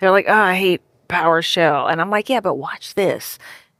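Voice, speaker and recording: A woman with an American accent. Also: dry, close sound with no echo. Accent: Cajun accent, comes out when tired. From US South, Louisiana (Cajun family). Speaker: software developer and author. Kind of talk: live podcast interview. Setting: stage with live audience.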